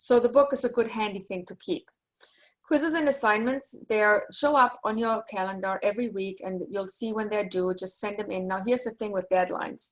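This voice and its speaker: A woman speaks at a fairly quick pace with a fairly high pitch and ordinary pitch variation. Her loudness swings widely. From Germany. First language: German. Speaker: university lecturer. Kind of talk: online class session. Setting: video call.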